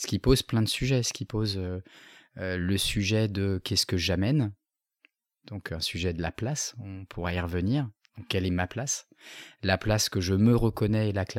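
In a dry, close sound with no echo on a very clean recording with a silent background, a man speaks at a moderate pace and fairly low pitch in a calm tone, with ordinary pitch variation and long, frequent pauses. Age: 40s. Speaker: business coach and facilitator. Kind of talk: interview.

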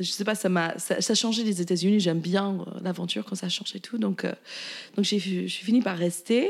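A woman with an English accent, medium pitch, fairly even intonation and a moderate pace. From US, Virginia (rural). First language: English (speaking French). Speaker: chef and caterer. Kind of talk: casual interview.

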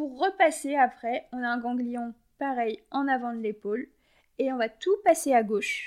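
Her pitch is high as the woman speaks at a fairly slow pace. The recording is very clean and the background silent. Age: 30s. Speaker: equine and canine massage therapist. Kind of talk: casual interview.

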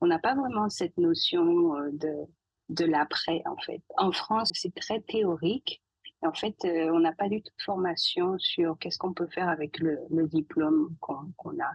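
Using an ordinary speaking voice, a woman talks at a fairly slow pace with a fairly low pitch and ordinary pitch variation. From Guadeloupe. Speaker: scientist. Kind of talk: podcast interview.

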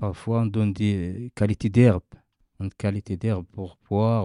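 On a very clean recording with a silent background, a man with a fairly low pitch and a dark, mellow tone speaks in a monotone, flat way, the sound dry and close with no echo. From Morocco, desert nomad family. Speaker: desert nomad. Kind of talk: interview. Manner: halting.

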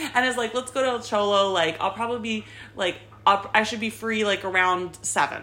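With an unremarkable speaking voice, a woman talks at a moderate pace in a fairly high pitch with fairly even intonation. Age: 30s. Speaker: podcast host. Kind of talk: casual chat. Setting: home recording, audio only.

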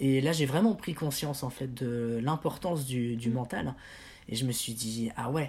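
A man speaks at a medium pitch, somewhat breathy, with ordinary pitch variation and a fairly slow pace. The recording is very clean, with a silent background. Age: 20s. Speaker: patient with multiple sclerosis, singer. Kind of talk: interview.

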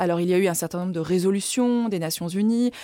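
A woman's dark, mellow tone, dry and close with no echo, in a very clean recording with a silent background. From France, Lyon. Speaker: ambassador and former member of parliament. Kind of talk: interview.

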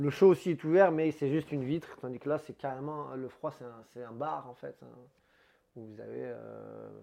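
Ordinary pitch variation and a moderate pace, carried by a dark, mellow tone. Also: man. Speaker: head waiter. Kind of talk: casual interview.

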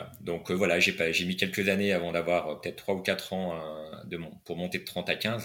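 With a bright, sharp tone, a man speaks at a moderate pace in a very deep, low pitch and a flat, monotone delivery. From France, Nancy. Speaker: writer and tennis club director. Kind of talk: interview conversation. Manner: halting, many hesitations.

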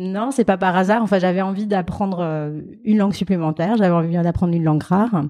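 A woman's dark, mellow tone at a very fast pace. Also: medium pitch for a woman, ordinary pitch variation. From France, Alsace (Strasbourg). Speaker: fundraising manager. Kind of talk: interview. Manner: hesitant.

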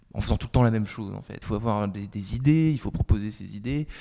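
A man's medium-pitched voice with a dark, mellow tone and ordinary pitch variation, on a very clean recording with a silent background. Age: 20s. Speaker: journalist. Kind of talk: interview.

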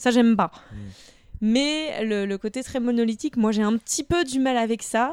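A woman with a normal speaking voice talks at a fairly high pitch and moderate pace. Her pitch variation is ordinary, and the sound is dry and close with no echo. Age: 30s. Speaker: podcast guest, practises historical martial arts. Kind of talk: casual chat.

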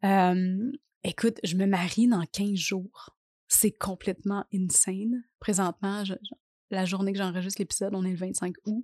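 A woman with a Quebec accent speaks very slowly at a medium pitch, her intonation fairly even and her tone dark and mellow, in a dry, close recording with no echo and a quiet background. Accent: Québécois French. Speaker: podcast host and life coach. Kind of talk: solo podcast monologue. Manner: casual, hesitant with fillers.

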